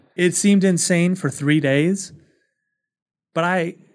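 A man speaks slowly in a clear, smooth tone at a high pitch, with ordinary pitch variation. The recording is very clean, with a silent background.

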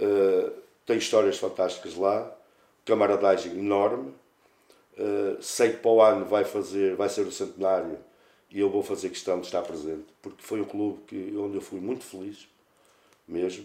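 A man speaks with long, frequent pauses, keeping a moderate pace. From northern Portugal, Santa Maria de Lamas. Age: 40s. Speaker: football coach, former player. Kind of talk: casual interview.

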